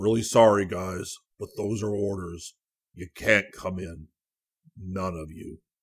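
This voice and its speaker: A man puts on a booming character voice at a fairly low pitch, monotone and flat, with big swings in loudness. Long, frequent pauses mark the very clean recording with a silent background. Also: fairly slow pace. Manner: firm, refusing.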